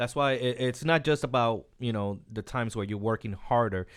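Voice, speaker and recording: Against a quiet background, a man with an unremarkable speaking voice talks at a medium pitch and moderate pace with ordinary pitch variation. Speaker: author. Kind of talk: casual chat.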